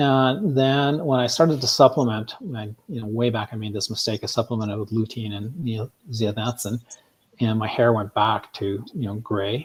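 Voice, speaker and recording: A man with a medium pitch and a somewhat breathy voice is talking. He keeps a moderate pace with ordinary pitch variation. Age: 60s. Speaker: guest interviewee on health podcast. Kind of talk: interview conversation. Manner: hesitant with many fillers.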